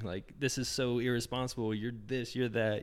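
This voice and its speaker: Against a silent background, the recording is very clean. The voice carries an American accent. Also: man. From small-town Indiana, US Midwest. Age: 20s. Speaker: fitness magazine cofounder, entrepreneur. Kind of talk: casual interview chat. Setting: in-person in an Airbnb.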